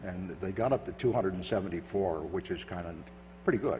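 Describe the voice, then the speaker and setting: An American accent at a fairly quick pace, with audible room echo and noticeable background noise. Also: man. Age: 70s. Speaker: surveillance countermeasures expert. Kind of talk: conference talk with Q&A. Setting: stage with audience. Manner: halting.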